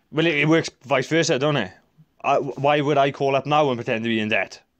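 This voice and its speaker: A plain, everyday voice from a man, fairly high, fairly quick, with ordinary pitch variation. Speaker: debtor caller. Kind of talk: phone call dispute.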